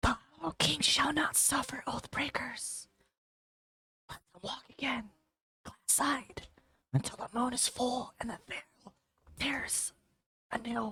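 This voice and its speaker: A put-on character voice, raspy and fairly high-pitched, at a fairly slow pace with long, frequent pauses. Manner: ominous, pronouncing a warning.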